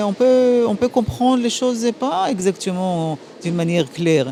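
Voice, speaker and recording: A woman speaks at a fairly slow pace with very wide pitch swings. Noticeable background noise runs underneath. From Transylvania, Romania, raised in Israel. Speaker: ambassador. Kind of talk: interview. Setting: gala dinner. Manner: halting.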